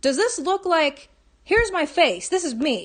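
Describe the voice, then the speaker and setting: Lively intonation from a woman. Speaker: vlogger. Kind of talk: personal testimony vlog. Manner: fast; halting, stammering.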